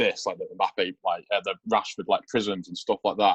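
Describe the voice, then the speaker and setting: A man with an English accent at a moderate pace, in a dry, close sound with no echo. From Manchester, England. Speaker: sports card collector. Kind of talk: casual interview chat.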